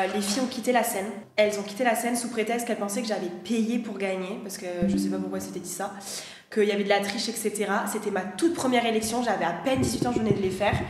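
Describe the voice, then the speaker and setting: Speaking at a very fast pace, a woman uses a medium pitch with ordinary variation. Audible room echo and noticeable background noise fill the recording. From southwest France, Landes. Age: 20s. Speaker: former beauty pageant contestant. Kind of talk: casual chat. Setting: livestream.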